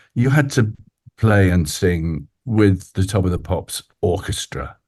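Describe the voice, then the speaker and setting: A man speaks with a very deep, low pitch and a somewhat breathy quality. His intonation is lively and his pace fairly slow. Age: 80s. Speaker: musician, songwriter, actor. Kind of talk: interview answer.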